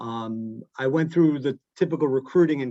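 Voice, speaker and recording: A man with an American accent at a medium pitch, in a dry, close sound with no echo. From Long Island, New York. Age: 50s. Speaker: accounting firm managing partner. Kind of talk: interview on a webinar panel. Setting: video call. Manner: many fillers and restarts.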